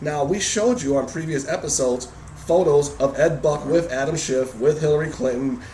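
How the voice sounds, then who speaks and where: A man talks at a fairly quick pace with ordinary pitch variation. Noticeable background noise and audible room echo come through. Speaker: political video blog host. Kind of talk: political commentary chat. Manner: fast.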